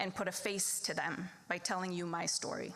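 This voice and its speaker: The speaker is a woman. She has a slight Minnesota accent. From Wisconsin small town, born in the Philippines. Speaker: lawyer and debate program supporter. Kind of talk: fundraising speech.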